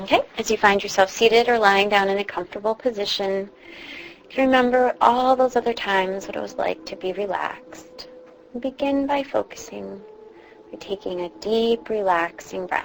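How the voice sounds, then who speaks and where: Against noticeable background noise, a woman with a medium pitch talks with big swings in loudness. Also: ordinary pitch variation. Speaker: meditation guide. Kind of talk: guided meditation. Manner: slow, soft-spoken.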